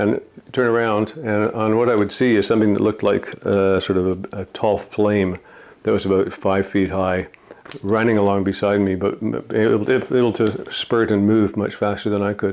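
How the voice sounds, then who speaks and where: A man with a Canadian accent talks at a moderate pace in a fairly low pitch. His intonation is monotone and flat, and there is noticeable background noise. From Toronto, Canada. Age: 60s. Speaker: retired judge and painter. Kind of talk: documentary interview. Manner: halting, many fillers and repeats.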